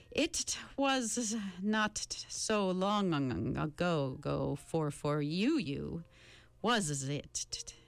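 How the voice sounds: A woman puts on a character voice, fairly low in pitch with vocal fry. She talks at a very slow pace with big pitch swings.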